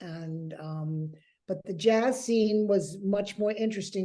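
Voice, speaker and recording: An American accent marks this woman's very slow speech. Her tone is dark and mellow, at a medium pitch with ordinary pitch variation. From New York City. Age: 80s+. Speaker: interviewee recalling jazz era. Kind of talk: casual interview.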